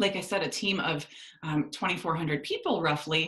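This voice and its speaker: A fairly quick pace carries the speech while noticeable background noise runs underneath. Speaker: network marketing team leader. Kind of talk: sales presentation on video call. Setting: video call. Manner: fast.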